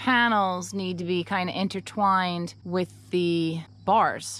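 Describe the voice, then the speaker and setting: The recording of a woman speaking is dry, with no echo. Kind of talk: casual vlog chat. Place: forest. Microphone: phone near.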